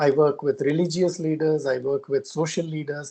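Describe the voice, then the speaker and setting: Against a quiet background, the speaker moves at a fairly quick pace in a dark, mellow tone. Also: man. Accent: Karnataka. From India, Karnataka. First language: Kannada. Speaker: conservationist. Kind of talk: interview. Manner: halting.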